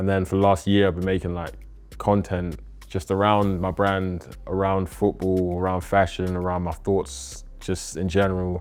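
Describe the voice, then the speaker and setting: With music in the background, a man with a London accent and a very deep, low pitch speaks at a moderate pace in a flat monotone. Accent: London multicultural English. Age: 20s. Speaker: clothing brand founder. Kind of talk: casual interview chat.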